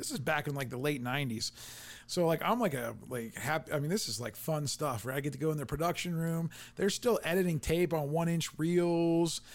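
A man with an American accent talks at a fairly quick pace in a fairly high pitch. He shows ordinary pitch variation and a plain, everyday voice. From Canton, Ohio. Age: 40s. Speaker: podcast host. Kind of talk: interview.

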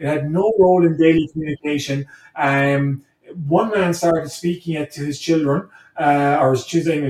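In a Cork accent, a man speaks with a fairly high pitch and fairly even intonation. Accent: Cork Irish. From Ireland, Blarney, County Cork. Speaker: history professor. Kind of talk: interview conversation. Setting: call. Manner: halting, many fillers and repetitions.

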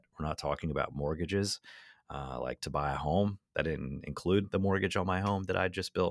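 Recorded very cleanly against a silent background, dry and close with no echo, a man talks fairly quickly in a very deep, low voice with vocal fry and ordinary pitch variation. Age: 30s. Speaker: magician and storyteller. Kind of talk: casual chat.

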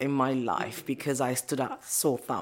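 A woman speaks in a very deep, low pitch with monotone, flat intonation. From Nigeria. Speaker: scientist and entrepreneur. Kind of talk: interview conversation.

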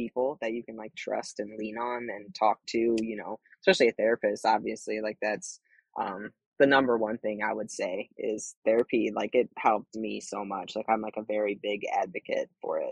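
An ordinary speaking voice, a man at medium pitch keeps a moderate pace and fairly even intonation in a dry, close sound with no echo. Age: 30s. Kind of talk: casual chat.

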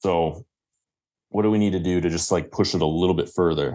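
A man with a very deep, low voice and a Midwestern US accent, very fast, with fairly even intonation against a quiet background. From Michigan. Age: 20s. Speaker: dating and confidence coach. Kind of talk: interview.

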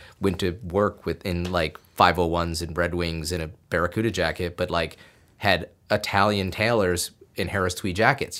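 A man with a very deep, low pitch speaks at a moderate pace on a very clean recording with a silent background. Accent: American. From upstate New York (Binghamton). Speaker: photographer and media maker. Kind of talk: casual chat. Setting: studio.

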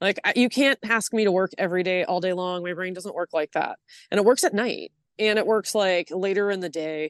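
A woman with a Californian accent talks at a fairly quick pace, her medium pitch showing ordinary variation. The sound is dry and close with no echo, over a quiet background. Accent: Californian American. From Los Angeles, San Fernando Valley. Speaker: artist and producer. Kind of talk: casual chat. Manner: loud.

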